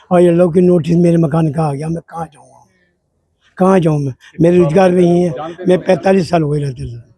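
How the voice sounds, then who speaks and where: Speaking at a moderate pace, a man with a high voice and a dark, mellow tone keeps his intonation fairly even while his loudness swings widely. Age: 60s. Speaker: local resident. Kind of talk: interview. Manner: halting.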